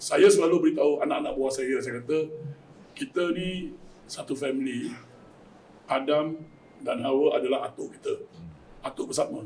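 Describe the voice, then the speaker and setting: Moderately paced speech from a man, broken by long, frequent pauses. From Malaysia. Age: 60s. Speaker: community volunteer running hearse van service. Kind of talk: panel talk show discussion.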